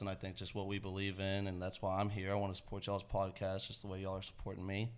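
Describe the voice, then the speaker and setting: With a Texan accent, a man of fairly low pitch talks at a very fast pace amid audible room echo. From Texas, Georgetown. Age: 20s. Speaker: rideshare business co-owner. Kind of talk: casual podcast interview.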